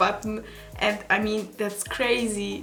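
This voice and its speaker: A woman talks at a fairly slow pace in a fairly high, flat monotone with a non-native accent. Audible room echo surrounds her voice. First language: not English, German-speaking. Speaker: beauty YouTuber. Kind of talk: vlog. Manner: halting.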